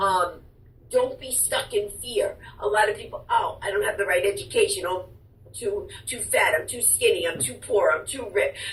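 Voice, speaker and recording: Her loudness rises and falls sharply as the woman speaks at a moderate speed. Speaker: author and speaker. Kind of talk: interview answer.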